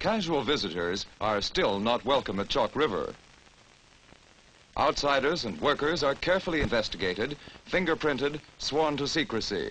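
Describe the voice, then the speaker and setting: A fairly high-pitched man with very wide pitch swings at a moderate pace, amid noticeable background noise. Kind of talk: newsreel narration.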